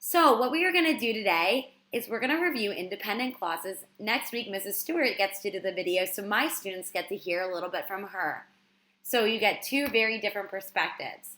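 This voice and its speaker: A woman's bright, sharp voice at a medium pitch, with a fairly quick pace and lively intonation. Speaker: teacher. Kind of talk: lesson.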